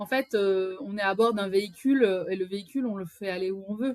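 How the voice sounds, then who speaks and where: A woman speaks at a moderate pace in a plain, everyday voice. Her pitch sits in the medium range, with ordinary pitch variation. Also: dry, close sound with no echo. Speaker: podcast host. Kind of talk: casual podcast conversation.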